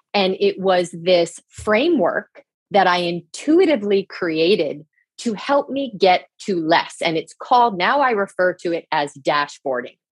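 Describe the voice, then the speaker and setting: A woman with an American accent uses a normal speaking voice at medium pitch, talking at a fairly slow pace with lively intonation, the sound dry and close with no echo. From New Jersey. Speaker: leadership coach. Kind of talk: interview chat.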